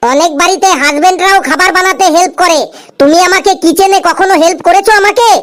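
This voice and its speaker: Using a cartoonish character voice at an extremely high pitch, a woman talks at a moderate pace with ordinary pitch variation. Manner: sharp, argumentative.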